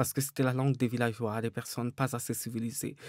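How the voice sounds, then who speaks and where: The sound is dry with no echo. A man speaks in a dark, mellow tone. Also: quiet background. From Cameroon, Douala; Cameroon. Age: 30s. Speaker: novelist; interviewee. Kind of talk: interview; interview answer. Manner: hesitant, many fillers. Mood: calm, reflective. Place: studio. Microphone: studio mic.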